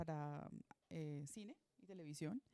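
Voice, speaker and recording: Recorded dry and close with no echo, a woman speaks in a dark, mellow tone with ordinary pitch variation. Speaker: moderator of a literary talk, teacher. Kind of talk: panel introduction.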